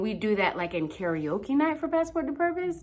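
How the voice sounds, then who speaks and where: With a slight Haitian accent, a woman speaks in an animated tone with very wide pitch swings. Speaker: youth mentor and motivational speaker. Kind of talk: motivational talk.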